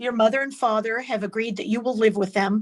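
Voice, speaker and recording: A woman has an ordinary speaking voice with a fairly high pitch. Her intonation stays fairly even. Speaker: defense lawyer. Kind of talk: court examination.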